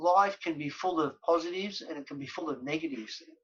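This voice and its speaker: With an Australian accent, a man speaks at a high pitch. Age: 60s. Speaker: former professional footballer. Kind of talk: podcast interview.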